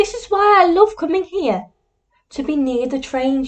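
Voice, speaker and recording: A woman uses a put-on, squeaky character voice at an extremely high pitch, with very wide pitch swings and big swings in loudness. She speaks at a moderate pace. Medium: read story. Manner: gentle, soft.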